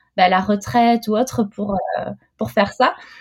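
A woman speaks fairly slowly at a fairly high pitch, with ordinary variation. Her tone is dark and mellow, and somewhat breathy. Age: 30s. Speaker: mother and entrepreneur. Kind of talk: casual interview chat. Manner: hesitant, many fillers.

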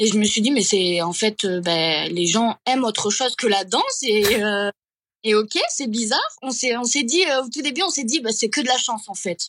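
Speaking at a moderate pace, a woman uses lively intonation in a fairly high pitch. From Catalonia. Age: 20s. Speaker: social media creator. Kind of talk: interview. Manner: halting.

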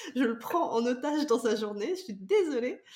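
Over noticeable background noise, a woman talks at high pitch with lively intonation. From France, Vendée. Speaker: podcast host. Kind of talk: casual interview chat.

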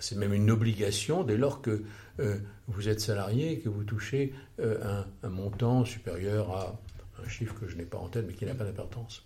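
Audible room echo surrounds a man speaking at a moderate pace, fairly low in pitch and somewhat breathy. His tone is dark and mellow, with ordinary pitch variation. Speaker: financial consultant and former senior finance official. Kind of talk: interview, lecture-like explanation. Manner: halting, with many hesitations and repetitions; formal.

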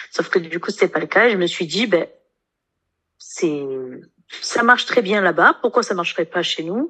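A woman's bright, sharp voice at a medium pitch, with ordinary pitch variation, a moderate pace, and long, frequent pauses. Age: 20s. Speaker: nurse and coaching client. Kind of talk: interview testimony.

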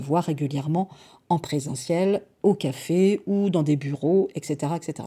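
A woman speaks very slowly in a dark, mellow tone with ordinary pitch variation. The recording is very clean, with a silent background. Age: 40s. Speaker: podcast host and time-management coach. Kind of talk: solo podcast monologue. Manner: hesitant, with repeated words.

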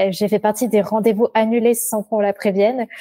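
This woman speaks fairly quickly at a fairly high pitch, her dark, mellow tone held in a monotone, flat intonation, with a dry, close sound and no echo. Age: 20s. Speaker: education adviser, former teacher. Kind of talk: personal testimony.

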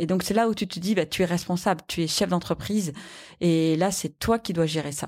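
An unremarkable speaking voice from a woman, fairly low in pitch, with fairly even intonation and a moderate pace, on a very clean recording with a silent background. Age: 40s. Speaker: company CEO. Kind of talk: interview.

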